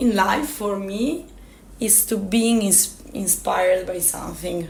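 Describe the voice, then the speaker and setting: A woman speaks very slowly with an Italian accent and lively intonation. Room echo is audible in the recording. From Italy, Turin. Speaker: climber and mountain guide. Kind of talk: interview. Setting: radio interview. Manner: halting.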